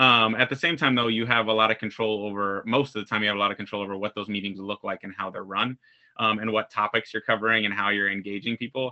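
A man speaks at a very fast pace with a fairly low pitch and fairly even intonation. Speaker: school principal. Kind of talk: casual interview chat. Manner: fast talker.

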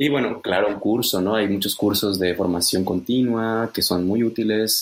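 Moderate pace and fairly even intonation from a man. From Mexico. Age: 30s. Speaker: conference interpreter and translator. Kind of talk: interview.

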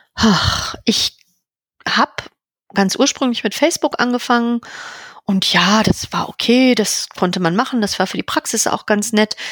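With long, frequent pauses, a woman speaks at a fairly slow pace in a fairly high pitch with ordinary variation, the sound dry and close with no echo. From Berlin, Germany. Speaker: veterinarian and practice owner. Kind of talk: podcast interview.

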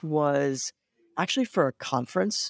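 This man has an ordinary speaking voice, fairly high pitched, with an American accent and lively intonation. The sound is dry and close with no echo. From US Midwest, Cleveland, Ohio. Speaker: tech startup founder and CEO. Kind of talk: interview.

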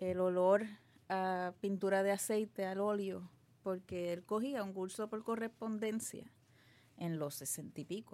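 A woman's medium-pitched voice with ordinary pitch variation and a fairly slow pace. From Puerto Rico, Guaynabo. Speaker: artist and art teacher. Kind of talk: interview. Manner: halting, many repetitions and fillers.

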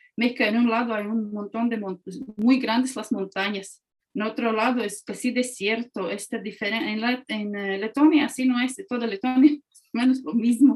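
Someone speaks with a Latvian accent at a moderate pace. The intonation is fairly even. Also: woman, fairly high pitch for a woman. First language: Latvian (speaking Spanish). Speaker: historian and museum director. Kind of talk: interview.

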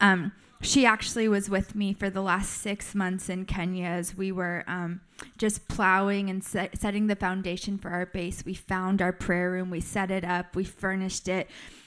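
A woman with an American accent speaks in a medium pitch at a moderate pace with monotone, flat intonation. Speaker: missionary teacher. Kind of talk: teaching workshop. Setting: live in front of audience with mic.

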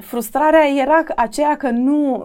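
A woman's dark, mellow tone. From Romania, Iași. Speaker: TV news presenter and journalist. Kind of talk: interview.

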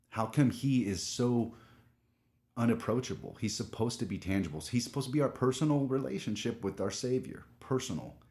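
In an American accent, the speaker talks at a fairly quick pace with ordinary pitch variation, vocal fry and a dark, mellow tone. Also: man, medium pitch for a man, very clean recording, silent background. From Southern California. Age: 30s. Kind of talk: casual interview chat.

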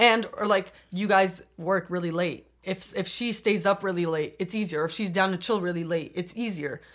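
A woman's normal speaking voice with a Canadian accent, medium in pitch, at a moderate pace with hardly any pauses and fairly even intonation. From Albania, then Toronto area. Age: 20s. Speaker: law student. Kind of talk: casual chat.

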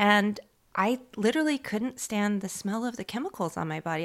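In a very clean recording with a silent background, a woman with an American accent uses a plain, everyday voice, fairly high in pitch, at a moderate pace. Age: 50s. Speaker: fashion designer and business owner. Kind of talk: interview.

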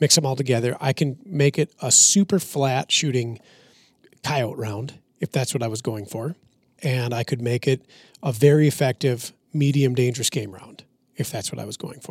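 A man's somewhat breathy voice at medium pitch and a moderate pace, with ordinary pitch variation, big swings in loudness, and a dry, close sound with no echo. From Minnesota. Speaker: firearms and ballistics expert. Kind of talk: casual chat.

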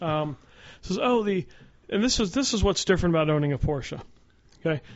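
The speaker is a man. His intonation is lively. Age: 40s. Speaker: automotive journalist and racer. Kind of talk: casual chat.

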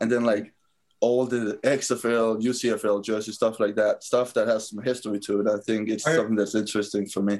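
Speaking in a Danish accent, the man has a medium pitch and a flat, monotone delivery. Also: moderate pace. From Denmark. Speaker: professional football player. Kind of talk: interview.

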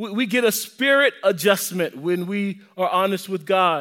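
In a very clean recording with a silent background, a man with an American accent uses a raised, projected voice and a bright, sharp tone, talking at a fairly slow pace with ordinary pitch variation. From US South. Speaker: pastor. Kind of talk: sermon. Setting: church.

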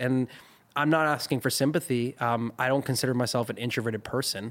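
A man's unremarkable speaking voice at medium pitch and a fairly quick pace, with ordinary pitch variation and very even loudness, in a very clean recording with a silent background. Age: 20s. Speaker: music video director. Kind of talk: casual chat.

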